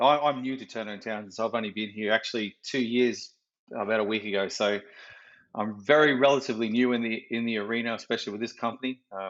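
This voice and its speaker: A man with an Australian accent talks at a very fast pace. His pitch is medium, with fairly even intonation. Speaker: project management professional. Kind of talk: interview. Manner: casual, with many fillers.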